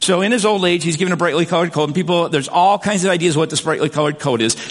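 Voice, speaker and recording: You can hear a man talking. Behind his voice, background noise is clearly noticeable. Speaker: pastor. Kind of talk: sermon.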